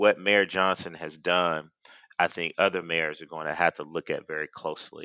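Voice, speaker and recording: With an American accent, a man talks at a moderate pace in a very deep, low pitch, his monotone, flat intonation and bright, sharp tone captured in a dry, close sound with no echo. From Georgia, US (Athens). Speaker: Democratic political strategist. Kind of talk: political panel discussion.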